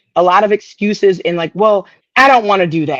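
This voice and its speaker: A woman has an ordinary speaking voice at medium pitch with ordinary pitch variation, captured dry and close with no echo. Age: 40s. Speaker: real estate investor. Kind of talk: casual chat.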